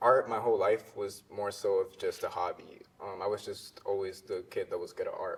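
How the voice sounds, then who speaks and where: A man with a Spanish accent talks at a moderate pace with hardly any pauses. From Honduras, raised in Maryland from age eight. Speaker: visual artist. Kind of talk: interview.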